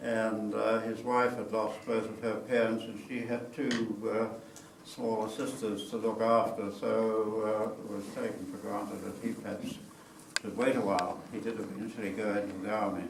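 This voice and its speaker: A man with a New Zealand accent speaks at a medium pitch and moderate pace in a monotone, flat intonation. Noticeable background noise and audible room echo surround him. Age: 80s+. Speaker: war veteran. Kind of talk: talk to an audience. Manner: halting.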